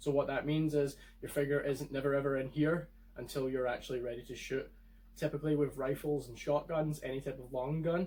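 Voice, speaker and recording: Somewhat breathy and in a Scottish accent, the voice moves at a fairly quick pace with fairly even intonation. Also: man. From Scotland. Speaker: firearms video creator. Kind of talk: tutorial.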